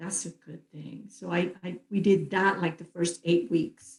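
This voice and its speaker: Somewhat breathy and dark, mellow in tone, a woman with a Spanish accent speaks at a fairly slow pace and a fairly low pitch. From Puerto Rico. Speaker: retired philanthropist. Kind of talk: interview conversation.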